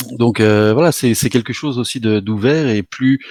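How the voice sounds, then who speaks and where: The speech moves at a fairly slow pace. The tone is dark and mellow. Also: man. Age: 50s. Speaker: author of an illustrated book series. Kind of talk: interview. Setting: live online event.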